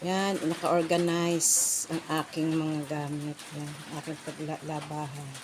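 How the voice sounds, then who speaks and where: Over noticeable background noise, a woman with a very deep, low pitch speaks at a fairly slow pace in a flat monotone. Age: middle-aged. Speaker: vlogger. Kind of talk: casual vlog narration. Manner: halting.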